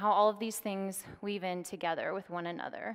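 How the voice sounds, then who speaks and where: The surroundings are quiet. A woman does the talking. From Oklahoma, US. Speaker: academic lecturer. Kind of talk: public lecture. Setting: stage with live audience. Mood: calm, earnest storytelling. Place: stage.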